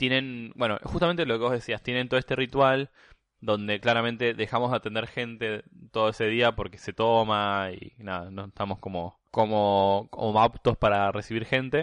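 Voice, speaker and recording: A man speaks in a Rioplatense accent at a moderate pace, with medium pitch and ordinary pitch variation. The sound is dry and close with no echo, over a quiet background. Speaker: podcast guest. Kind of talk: casual chat. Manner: halting, many fillers.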